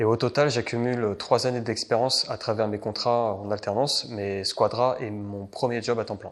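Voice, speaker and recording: At a moderate pace and medium pitch, a man talks in a monotone, flat intonation with hardly any pauses. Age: 20s. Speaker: IT consultant. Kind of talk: interview. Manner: halting, many hesitations.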